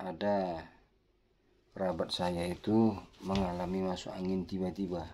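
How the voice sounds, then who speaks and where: A dark, mellow tone with flat, monotone intonation, long and frequent pauses, and a fairly slow pace. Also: man, very deep, low pitch for a man. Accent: Medan. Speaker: health tips vlogger. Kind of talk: casual health tutorial with anecdote. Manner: somewhat loud, forceful.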